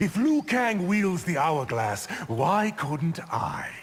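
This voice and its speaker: Someone uses a put-on character voice at a very slow pace, pitch swinging very widely. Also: man, high pitch for a man. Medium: video game. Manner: smooth, arrogant, condescending.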